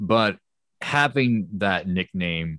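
Recorded dry and close with no echo, a man speaks over a quiet background. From lived in many countries. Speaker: YouTuber and animation studio founder. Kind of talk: casual interview.

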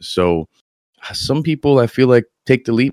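A man speaks, and the sound is dry and close with no echo. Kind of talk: casual chat.

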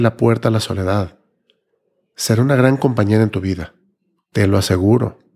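A man speaks at a moderate pace in a dark, mellow tone with ordinary pitch variation. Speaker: podcast host. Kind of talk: personal reflective monologue.

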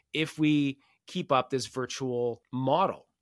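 In a very clean recording with a silent background, a man talks with a Canadian accent. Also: dry, close sound with no echo. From Canada. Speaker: podcast host, science fair nonprofit leader. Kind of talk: solo podcast monologue.

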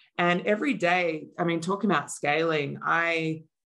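Against a quiet background, a woman with a very deep, low voice and an Australian accent speaks with fairly even intonation. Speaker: marketing executive. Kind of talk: interview.

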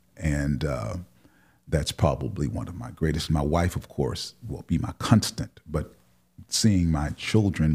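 At a fairly slow pace, a man with an American accent talks in a very deep, low voice with vocal fry. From Milwaukee, Wisconsin. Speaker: pastor. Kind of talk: interview. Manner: halting.

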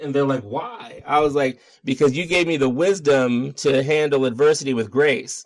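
With an unremarkable speaking voice, a man talks at a moderate pace, with a fairly high pitch and ordinary pitch variation. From Baltimore, Maryland, US. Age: middle-aged. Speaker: yoga teacher and activist. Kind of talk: interview.

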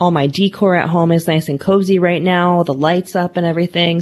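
Her voice fairly low in pitch, a woman speaks at a fairly quick pace in an animated tone. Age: 30s. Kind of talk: casual chat.

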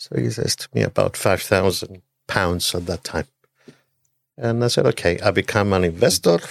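A man speaks at a moderate pace in a very deep, low voice with vocal fry. His pitch varies in an ordinary way, and the sound is dry and close with no echo. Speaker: hotel group chairman and businessman. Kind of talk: casual interview. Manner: halting, hesitant with fillers.

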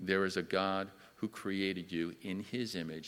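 A very clean recording with a silent background captures a man's very deep, low voice. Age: 60s. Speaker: church elder and Sunday school teacher. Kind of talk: personal testimony in church. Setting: church service, in person and streamed. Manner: hesitant, with filler words.

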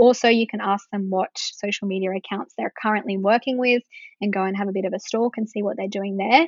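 Talking at a fairly quick pace, a woman uses a normal speaking voice at medium pitch with fairly even intonation. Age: 20s. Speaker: social media marketing business owner. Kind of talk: interview.

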